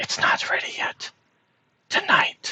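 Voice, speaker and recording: This is a put-on character voice. It is delivered in a whisper. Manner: secretive, hushed.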